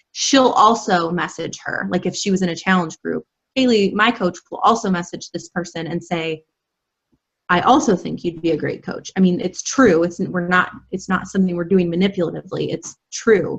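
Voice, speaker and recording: Her voice somewhat breathy, a woman talks at a moderate pace and medium pitch with ordinary pitch variation. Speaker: health and fitness coach. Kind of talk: online training presentation.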